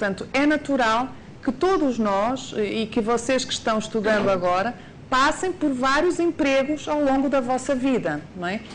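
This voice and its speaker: A woman speaks at a fairly slow pace in a high voice with lively intonation. There is audible echo in the room. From Portugal. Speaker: university lecturer. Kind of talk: lecture.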